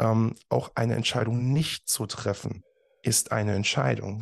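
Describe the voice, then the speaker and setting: A man talks at a fairly slow pace with a fairly low pitch and ordinary pitch variation. The background is quiet. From Germany, Eifel near Bitburg/Trier. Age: 30s. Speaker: professional speaker. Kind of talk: interview. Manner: frequent fillers, hesitant.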